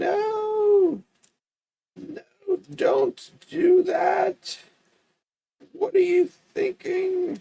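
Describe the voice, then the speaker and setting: A man puts on a character voice with an extremely high pitch. He speaks at a very slow pace, with long, frequent pauses. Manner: scolding, put-on.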